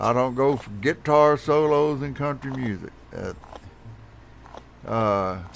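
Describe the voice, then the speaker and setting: Speaking with an American accent, a man talks at a very slow pace in a medium pitch with ordinary pitch variation. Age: 60s. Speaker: gaming streamer. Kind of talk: casual chat.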